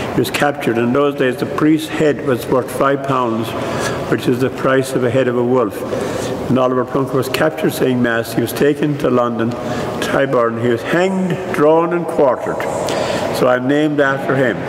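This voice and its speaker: A man talks at a moderate pace with ordinary pitch variation and very even loudness. Noticeable background noise runs under the recording. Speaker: priest. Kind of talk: interview answer. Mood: warm, humorous reminiscing. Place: church.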